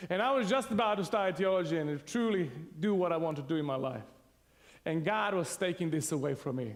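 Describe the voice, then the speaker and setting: With a Serbian accent, a man speaks at a high pitch with very wide pitch swings, and audible room echo surrounds him. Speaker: pastor. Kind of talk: sermon. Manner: animated.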